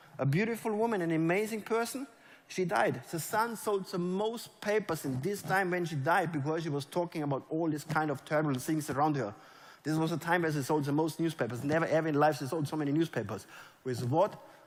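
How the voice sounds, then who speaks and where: Fairly high in pitch, a man speaks at a fairly quick pace in an animated tone with lively intonation. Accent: German. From Germany. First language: German. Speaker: network marketing leader. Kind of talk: motivational talk. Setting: stage with audience.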